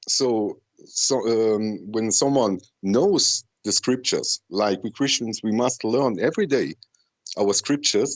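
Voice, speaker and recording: A man speaks at a very slow pace with a non-native accent. His intonation is lively. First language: not English. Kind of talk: call-in discussion. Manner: halting, many fillers.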